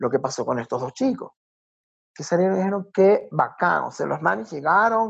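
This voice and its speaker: A man with a coastal Ecuadorian accent talks at a fairly quick pace in a high pitch, his voice swinging very widely up and down. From Ecuador, Guayaquil. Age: 50s. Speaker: tourism consultant and nature guide. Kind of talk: casual interview.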